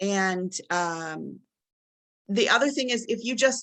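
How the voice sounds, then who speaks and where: A woman's medium-pitched voice with a dry, close sound and no echo. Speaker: college instructor. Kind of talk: webinar presentation. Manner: fast.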